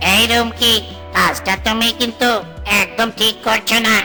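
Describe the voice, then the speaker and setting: At a moderate pace, a cartoonish character voice with a fairly high pitch speaks over clear music in the background. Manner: soft, timid.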